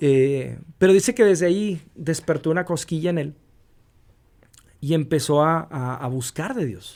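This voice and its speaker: Over a very clean recording with a silent background, a man with a fairly high pitch and lively intonation speaks at a fairly slow pace with long, frequent pauses. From US-Mexico border region. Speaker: radio announcer. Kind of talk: interview answer. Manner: dynamic.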